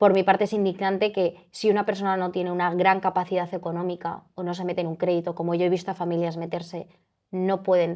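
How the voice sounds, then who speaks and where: A woman's medium-pitched voice at a very fast pace. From Spain, Madrid. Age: 20s. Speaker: eating disorder survivor, interviewee. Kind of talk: personal testimony in interview. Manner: animated, self-interrupting with fillers.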